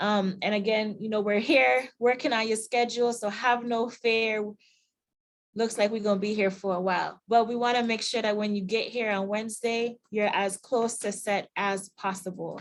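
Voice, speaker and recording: A woman's voice with a Virgin Islands accent and fairly even intonation. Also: fairly high pitch for a woman, moderate pace. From US Virgin Islands. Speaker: university staff member. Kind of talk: online info session.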